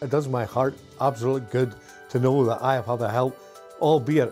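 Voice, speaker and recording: Faint music plays in the background as a man speaks with a Northern Irish accent. His pace is moderate and his intonation fairly even. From Northern Ireland. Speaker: retired firefighter and ministry donor. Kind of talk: interview answer. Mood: warm, enthusiastic. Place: home room. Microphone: lapel.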